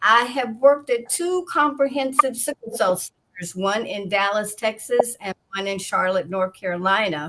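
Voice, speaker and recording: This woman has a normal speaking voice, pitched fairly high. She talks at a fairly slow pace with lively intonation. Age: 60s. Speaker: author and patient advocate. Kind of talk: online interview.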